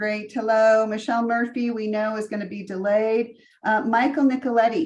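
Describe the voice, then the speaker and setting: This woman has a plain, everyday voice, with a fairly high pitch, fairly even intonation, and a moderate pace. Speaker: meeting facilitator. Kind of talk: meeting roll call.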